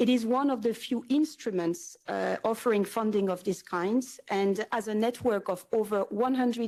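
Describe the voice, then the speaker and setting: A woman's fairly high voice in a French accent with ordinary pitch variation and a moderate pace, on a very clean recording with a silent background. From France. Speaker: environmental NGO representative. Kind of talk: panel discussion. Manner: hesitant, many fillers.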